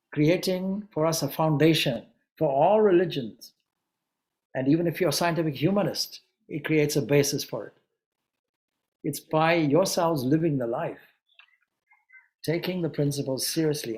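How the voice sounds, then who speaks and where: A man with a Zimbabwean accent, fairly high pitch, a moderate pace and long, frequent pauses. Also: ordinary pitch variation. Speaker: Vedanta monk and spiritual teacher. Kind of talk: anniversary celebration talk. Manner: hesitant, with filler words.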